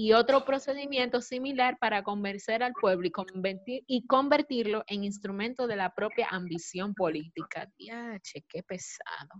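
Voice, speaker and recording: A woman talks in a normal speaking voice at a fairly high pitch, with ordinary pitch variation. Her pace is fairly slow, and her loudness swings widely. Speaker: recent marketing graduate. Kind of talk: panel discussion.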